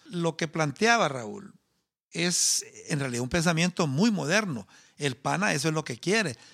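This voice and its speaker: Lively intonation marks a man with a fairly high pitch and a plain, everyday voice. He talks at a fairly slow pace in a very clean recording with a silent background. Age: 50s. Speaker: agronomist and party founder. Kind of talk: interview.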